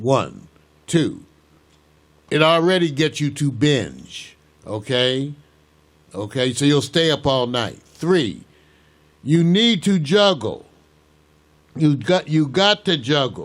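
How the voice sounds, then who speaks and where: A man talks at a very slow pace, leaving long, frequent pauses. His pitch is fairly high, with lively intonation. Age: 60s. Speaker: talk show host. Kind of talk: casual chat. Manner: animated.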